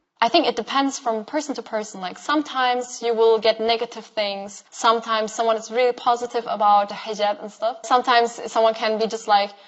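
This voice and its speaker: Over noticeable background noise, a woman with a fairly high pitch talks at a very fast pace, barely pausing at all. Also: fairly even intonation. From Germany. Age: 20s. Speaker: social media influencer. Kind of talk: interview.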